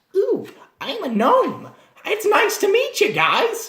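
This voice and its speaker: An extremely high, put-on character voice is heard. It moves at a fairly slow pace. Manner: cheerful, friendly.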